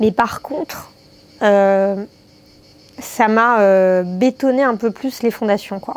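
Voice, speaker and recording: A woman talks at a very slow pace, with long, frequent pauses. Her fairly high pitch shows ordinary variation. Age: 30s. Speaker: podcaster. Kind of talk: personal monologue. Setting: filmed video at home. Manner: hesitant, many fillers.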